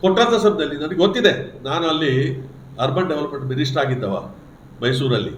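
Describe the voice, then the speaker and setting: Lively intonation over noticeable background noise, with audible room echo. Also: man, fairly high pitch for a man. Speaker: politician. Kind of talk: press conference.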